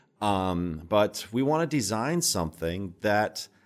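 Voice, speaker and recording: Recorded very cleanly against a silent background, a man with fairly low pitch uses an ordinary speaking voice. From Minnesota. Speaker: TV home renovation host. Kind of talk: interview.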